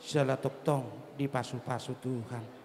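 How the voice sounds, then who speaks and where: A man at a very slow pace with noticeable background noise. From Batak village, North Sumatra. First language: Batak (speaking Indonesian). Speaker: clan association chairman giving wedding speech. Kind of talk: ceremonial speech.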